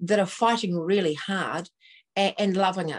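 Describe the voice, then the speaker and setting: With a New Zealand accent, a woman speaks in a dry, close sound with no echo. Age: 60s. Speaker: activist guest, at-home mum. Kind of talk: live online talk show. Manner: hesitant, many fillers.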